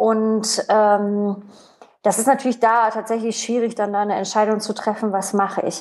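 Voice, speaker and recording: Here a woman speaks at a moderate pace. Her intonation is monotone and flat. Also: fairly high pitch for a woman. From East Germany. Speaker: entrepreneur. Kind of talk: interview conversation. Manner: many hesitations and fillers.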